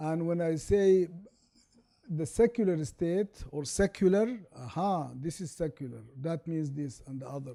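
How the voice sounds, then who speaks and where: A man with an Arabic accent speaks fairly slowly at a fairly high pitch in a dark, mellow tone, with lively intonation and big swings in loudness, on a very clean recording with a silent background. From Sudan. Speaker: law professor. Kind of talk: lecture.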